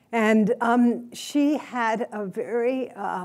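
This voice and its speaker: A woman speaks with an American accent and a dark, mellow tone, with ordinary pitch variation. The recording is very clean with a silent background. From US South. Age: 70s. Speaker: Buddhist teacher and lecturer. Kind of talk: lecture. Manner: halting, many fillers.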